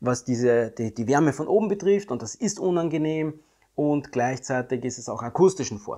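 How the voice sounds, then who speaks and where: The tone is dark and mellow, the pace moderate, over a quiet background. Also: man. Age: 50s. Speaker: YouTuber reviewing electric cars. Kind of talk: video monologue commentary. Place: home room.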